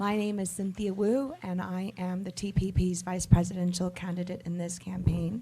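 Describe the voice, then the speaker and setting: A woman speaks at a moderate pace and medium pitch, somewhat breathy, with a dark, mellow tone and fairly even intonation. Her loudness swings a lot, and she hardly pauses at all. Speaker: vice presidential candidate. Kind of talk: press conference statement. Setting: international press conference.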